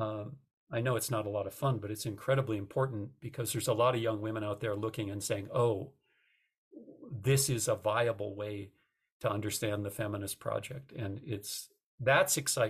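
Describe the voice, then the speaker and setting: Somewhat breathy and fairly low-pitched, a man with an American accent speaks at a moderate pace with fairly even intonation. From United States. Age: 60s. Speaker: retired journalism professor. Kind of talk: interview.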